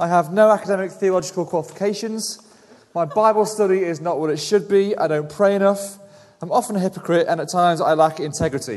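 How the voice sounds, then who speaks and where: Amid noticeable background noise, a man with a high voice speaks at a very fast pace with ordinary pitch variation. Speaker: preacher. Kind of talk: sermon. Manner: mumbling.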